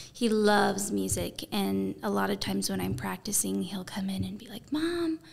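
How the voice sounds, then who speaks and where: An American accent comes through at a moderate pace, with very wide pitch swings and big swings in loudness. Noticeable background noise sits behind the voice. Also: woman, very deep, low pitch for a woman. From Arizona (Safford, small rural town). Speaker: singer-songwriter. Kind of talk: casual interview chat. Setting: conference room.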